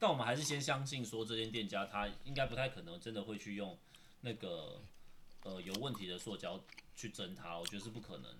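A man's fairly low voice at a fairly quick pace. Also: lively intonation. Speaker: podcast co-host. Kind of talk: casual chat while eating. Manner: quiet voice.

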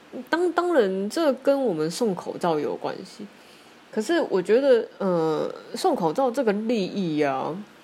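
With noticeable background noise, a woman speaks fairly slowly at a fairly high pitch with very wide pitch swings. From Taiwan. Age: 30s. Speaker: podcaster. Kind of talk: solo monologue. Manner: halting, many fillers.

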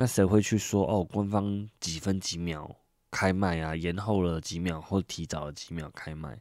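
A man with a very deep, low pitch speaks fairly slowly and with fairly even intonation, his loudness swinging widely, on a very clean recording with a silent background. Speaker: podcast host. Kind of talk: solo podcast monologue. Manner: casual, conversational.

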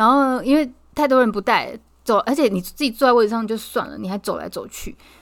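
This woman talks at a very fast pace. Her intonation is lively. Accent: Taiwanese. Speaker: podcast co-host. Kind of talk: casual chat.

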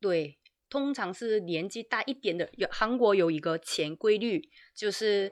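Over a quiet background, a woman talks at a medium pitch with lively intonation. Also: fairly slow pace. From South Korea. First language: Korean (speaking Chinese). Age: 30s. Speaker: YouTuber, translator. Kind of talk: casual chat. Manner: halting.

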